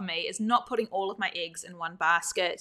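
A woman with a New Zealand accent and ordinary pitch variation, on a very clean recording with a silent background. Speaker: gardening podcast host. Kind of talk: live show talk.

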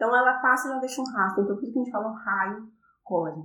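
A woman at a fairly high pitch, with audible room echo. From Brazil, interior of São Paulo state. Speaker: astrophysicist. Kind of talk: interview. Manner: halting.

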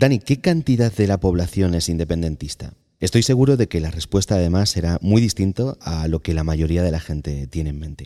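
Hardly pausing, a man talks fairly quickly in a very deep, low pitch with a dark, mellow tone. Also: lively intonation, very clean recording, silent background. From Barcelona. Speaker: podcast host. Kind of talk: interview.

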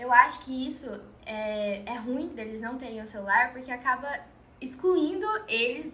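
A woman's voice is raised and projected, high in pitch, with lively intonation. She talks at a fairly slow pace. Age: 20s. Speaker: podcast guest, friend of host. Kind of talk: casual chat.

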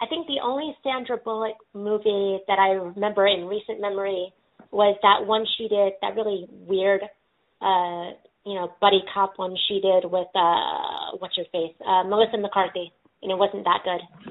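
An unremarkable speaking voice from a woman with an American accent, medium pitch, ordinary pitch variation and a moderate pace. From California. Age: 20s. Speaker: podcast host, person in recovery. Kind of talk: casual interview chat.

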